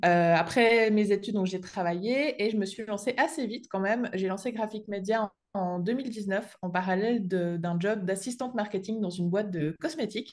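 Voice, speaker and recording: A woman speaks at a fairly quick pace in a medium pitch. Her pitch varies in an ordinary way against a quiet background. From Switzerland (French-speaking). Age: 20s. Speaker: entrepreneur, graphic designer and online trainer. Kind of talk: podcast interview.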